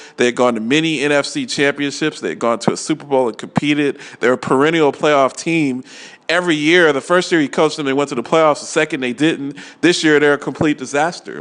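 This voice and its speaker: With noticeable background noise in the recording, a man talks very fast, his intonation fairly even. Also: fairly high pitch for a man. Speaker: sports talk radio host. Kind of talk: sports talk radio monologue. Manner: opinionated, emphatic.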